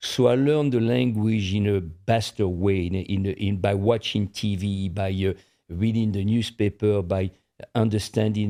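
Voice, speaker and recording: Over a quiet background, a man speaks in a French accent. His tone is dark and mellow, his intonation fairly even. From France. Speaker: podcast co-host. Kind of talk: casual chat.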